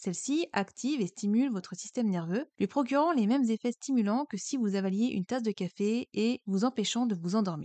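The voice has a dark, mellow tone and lively intonation at a moderate pace. The sound is dry and close with no echo, over a quiet background. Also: woman. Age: 30s. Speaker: mental health podcaster. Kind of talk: scripted narration; personal testimony.

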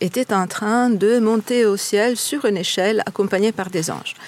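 In an Italian accent, a woman speaks at a very slow pace with a medium pitch. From Italy. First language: Italian (speaking French). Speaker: tour guide. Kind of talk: guided tour explanation.

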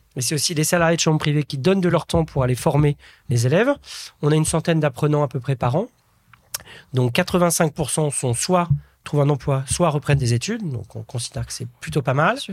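A man with a fairly high, somewhat breathy voice speaks at a fairly quick pace, using ordinary pitch variation. The sound is dry and close with no echo, and his long pauses come often. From France, Nièvre (Burgundy) village. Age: 40s. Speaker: entrepreneur and impact investor. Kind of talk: interview.

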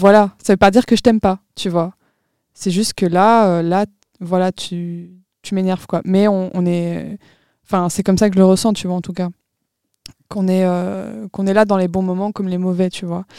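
A woman's dark, mellow voice at medium pitch and a moderate pace, with monotone, flat intonation, long, frequent pauses and a dry, close sound with no echo. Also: very clean recording, silent background. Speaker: podcast co-host, student. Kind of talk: casual chat.

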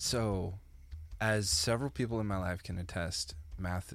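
A man speaks in a very deep, low voice with a somewhat breathy quality. His pace is fairly slow. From small-town Canada. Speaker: podcast co-host. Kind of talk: casual chat.

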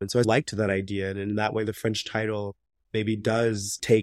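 With an American accent, a man speaks at a fairly quick pace in a fairly low pitch, his intonation monotone and flat, over a very clean recording with a silent background and a dry, close sound with no echo. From US South, rural Alabama. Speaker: novelist. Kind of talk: interview.

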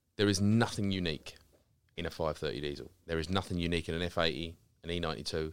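Very fast speech from a man with a very deep, low pitch, vocal fry and ordinary pitch variation. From Essex, near Romford (east London edge). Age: 30s. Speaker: car care brand founder. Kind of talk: casual chat. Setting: studio.

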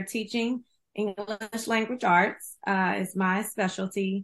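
A woman with an unremarkable speaking voice talks at a medium pitch and a fairly slow pace, keeping her intonation fairly even. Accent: American. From Houston, Texas. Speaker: screenwriter and author. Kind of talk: interview.

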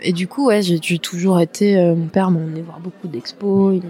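Noticeable background noise beneath a woman speaking with ordinary pitch variation. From western France, La Rochelle. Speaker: artist and former stylist. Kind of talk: casual interview.

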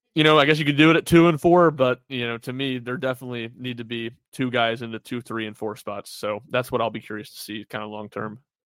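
A man at a very fast pace with hardly any pauses, a medium pitch, ordinary pitch variation and big swings in loudness. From southern Tennessee. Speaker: sports writer. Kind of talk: casual chat.

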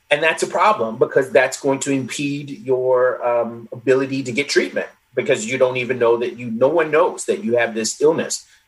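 Speaking at a moderate pace with hardly any pauses, a man uses a medium pitch, ordinary pitch variation and a somewhat breathy voice. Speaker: social psychologist and author. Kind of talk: interview conversation. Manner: articulate, explanatory.

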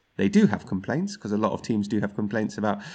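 A man with a London accent talks at a very fast pace in a fairly low voice over a quiet background. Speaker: football pundit and TV presenter. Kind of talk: casual chat.

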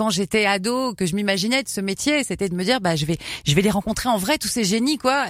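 At a fairly quick pace, an unremarkable speaking voice with lively intonation comes through on a very clean recording with a silent background. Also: woman. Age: 40s. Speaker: radio host. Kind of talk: casual chat.

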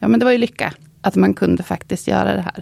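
A woman speaks in an Östergötland accent. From Östergötland, Linköping. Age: 50s. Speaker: goldsmith. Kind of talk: casual interview.

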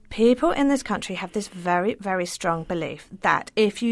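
A woman with a medium pitch talks at a moderate pace, captured in a very clean recording against a silent background. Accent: English. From England. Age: 40s. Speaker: writer. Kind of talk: interview.

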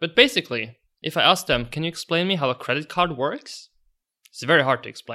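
A man's fairly high, bright and sharp voice with a Norwegian accent, lively intonation and big swings in loudness. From Norway. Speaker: podcast host. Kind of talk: interview. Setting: in person in New York.

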